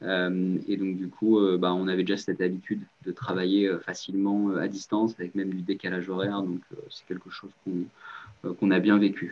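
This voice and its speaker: A flat, monotone delivery at a moderate pace, with big swings in loudness. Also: man, very deep, low pitch for a man. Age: 20s. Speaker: startup founder. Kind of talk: interview.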